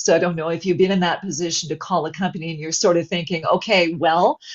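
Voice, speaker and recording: A woman's fairly low voice, a plain, everyday voice, at a fairly quick pace with ordinary pitch variation. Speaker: voice actor. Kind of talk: webinar interview answer.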